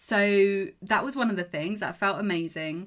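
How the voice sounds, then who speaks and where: In a very clean recording with a silent background, a woman with an English accent speaks at a moderate pace with ordinary pitch variation. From England. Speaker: mental performance coach. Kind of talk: podcast monologue. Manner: animated.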